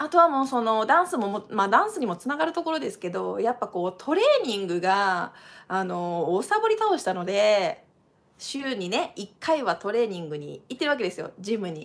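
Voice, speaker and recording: A woman with a Kansai accent talks at a fairly quick pace in an animated tone. Her pitch is fairly high, with very wide pitch swings. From Japan. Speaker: dancer and channel host; channel host. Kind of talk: live stream casual talk. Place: home room. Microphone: webcam.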